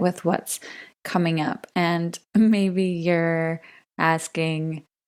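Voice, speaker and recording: A woman speaks in a calm tone with a fairly low pitch and ordinary pitch variation. The recording is very clean, with a silent background. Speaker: podcast host and wellness coach. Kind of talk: teaching talk. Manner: calm, soft-spoken.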